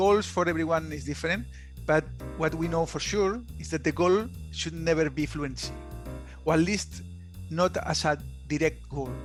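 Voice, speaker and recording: A man speaks at a moderate pace with a Spanish accent while music plays in the background. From Spain. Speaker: app founder, former subsea engineer. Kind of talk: podcast interview answer.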